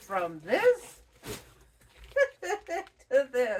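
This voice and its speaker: Her pitch varies in an ordinary way. The woman is heard over noticeable background noise. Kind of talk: casual talk to camera. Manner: chatty, humorous.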